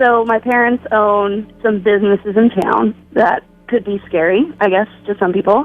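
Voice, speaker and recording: With music in the background, a woman of medium pitch speaks with ordinary pitch variation. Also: moderate pace. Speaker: radio caller. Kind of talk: phone-in caller story. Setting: phone line.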